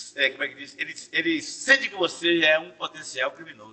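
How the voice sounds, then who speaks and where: The speaker uses an animated tone at a moderate pace. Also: man. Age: 60s. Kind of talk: podcast interview.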